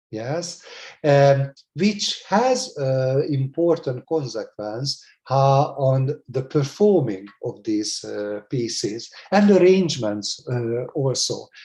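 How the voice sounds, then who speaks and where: In a Hungarian accent, a man speaks very slowly at a fairly high pitch, his dark, mellow tone somewhat breathy and his intonation lively. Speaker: music educator. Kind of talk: lecture. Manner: halting, many fillers; formal.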